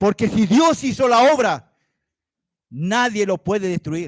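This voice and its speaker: On a very clean recording with a silent background and a dry, close sound with no echo, a man speaks at a very slow pace in a high pitch. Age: 60s. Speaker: lay preacher. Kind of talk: sermon. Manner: animated.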